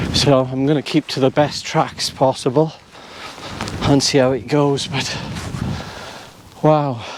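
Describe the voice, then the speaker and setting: A fairly slow, fairly high-pitched man's voice in a South Wales accent, with fairly even intonation, long, frequent pauses and noticeable background noise. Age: 60s. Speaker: walking vlogger. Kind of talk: casual walk-and-talk vlog. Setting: outdoors on foggy mountain.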